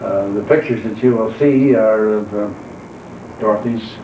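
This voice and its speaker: Speaking at a fairly slow pace with an American accent, a man holds a medium pitch and fairly even intonation while noticeable background noise and audible room echo fill the recording. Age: 70s. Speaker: retired accountant narrating home movies. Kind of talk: casual chat. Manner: halting.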